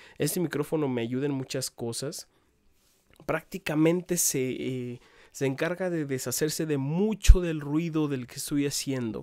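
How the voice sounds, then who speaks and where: The tone is dark and mellow, the pace fairly slow, with ordinary pitch variation and big swings in loudness. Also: man, fairly high pitch for a man. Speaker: YouTuber. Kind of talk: casual vlog. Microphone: borrowed professional microphone.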